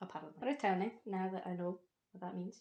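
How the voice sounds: Against a quiet background, this is a natural reading voice. The intonation stays fairly even.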